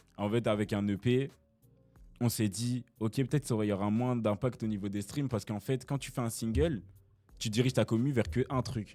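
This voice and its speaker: Medium pitch from a man, ordinary pitch variation and a moderate pace, with music in the background. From Brussels, Belgium. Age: young. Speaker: rapper. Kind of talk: casual interview answer.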